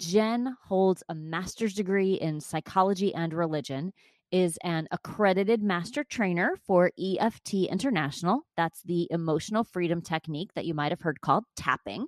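An unremarkable speaking voice with lively intonation moves at a fairly slow pace, recorded dry and close with no echo over a quiet background. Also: woman. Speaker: podcast host and chakra coach. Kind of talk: interview, with scripted intro.

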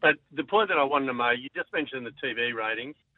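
Moving at a fairly quick pace, a man speaks with an Australian accent at a medium pitch and ordinary pitch variation. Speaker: caller. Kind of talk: casual radio call-in. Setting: phone call.

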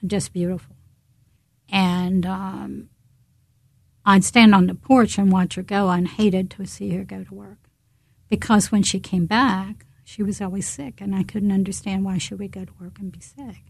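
A somewhat breathy woman speaks at a medium pitch with fairly even intonation and big swings in loudness. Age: 70s. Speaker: founder of Rosie movement. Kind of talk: interview.

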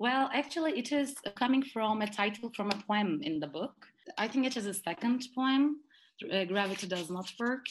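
A woman talks at a moderate pace with a fairly high pitch. Her intonation is lively. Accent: Turkish. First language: Turkish. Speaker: poet and graduate student. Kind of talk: interview. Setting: video call.

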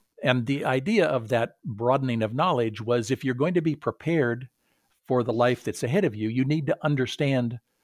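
At a moderate pace and with ordinary pitch variation, someone with an American accent speaks on a very clean recording with a silent background. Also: man. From Southern California. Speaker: retired college president and author. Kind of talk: interview. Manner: hesitant with many fillers.

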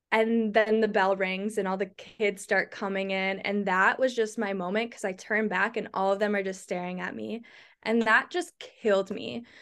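The background is quiet while a woman speaks at a moderate pace with fairly even intonation. She has an unremarkable speaking voice of medium pitch. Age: 20s. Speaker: content creator. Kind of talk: casual chat.

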